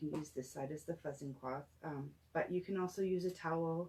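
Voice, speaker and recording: A soft-spoken voice moves at a moderate pace with fairly even intonation. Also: woman. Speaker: craft tutorial host. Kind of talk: tutorial. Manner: hesitant, many fillers.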